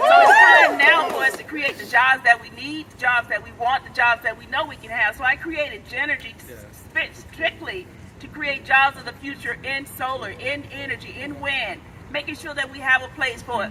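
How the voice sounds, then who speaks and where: A raised, projected voice at a moderate pace, with ordinary pitch variation and big swings in loudness, over noticeable background noise. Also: woman, high pitch for a woman. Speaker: clean energy business founder and activist. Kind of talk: rally speech. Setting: outdoor rally with crowd. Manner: animated.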